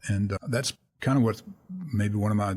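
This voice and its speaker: Talking very fast, a man has an American accent and a somewhat breathy voice. His intonation stays fairly even. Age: 70s. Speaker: retired accountant and financial planner. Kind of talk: casual interview conversation.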